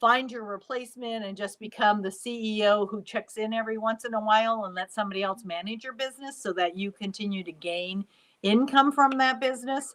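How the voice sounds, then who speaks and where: Using a plain, everyday voice, a woman talks at a fairly quick pace and fairly high pitch, her intonation fairly even while her loudness swings widely. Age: 60s. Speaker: life coach. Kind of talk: casual chat.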